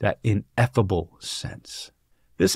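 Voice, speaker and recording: In a quiet background, a man speaks at a fairly low pitch with a dry sound and no echo. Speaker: book discussion host. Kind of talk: lecture. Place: home room. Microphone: studio mic.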